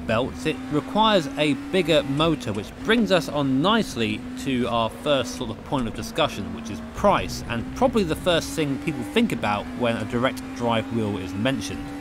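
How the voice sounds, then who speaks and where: Music plays behind a man who talks at a moderate speed. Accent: British. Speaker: sim racing video creator. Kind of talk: product review talk. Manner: casual, self-deprecating.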